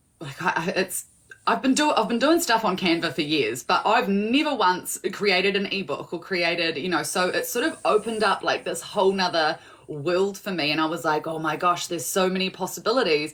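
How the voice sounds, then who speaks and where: Noticeable background noise sits behind this woman's voice. She talks at a fairly quick pace and a medium pitch. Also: lively intonation. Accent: strong New Zealand. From New Zealand. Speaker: small business owner, guest. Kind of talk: casual chat.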